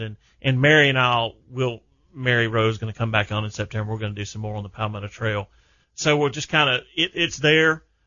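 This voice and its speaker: A man with a Southern US accent keeps up a fairly quick pace. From South Carolina. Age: 50s. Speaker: outdoors radio host. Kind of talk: casual radio interview. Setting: studio.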